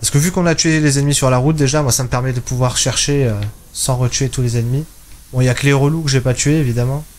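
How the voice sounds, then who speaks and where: Speaking very fast at a medium pitch, a man keeps fairly even intonation and very even loudness. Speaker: gaming YouTuber. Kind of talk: let's play commentary. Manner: casual, thinking aloud.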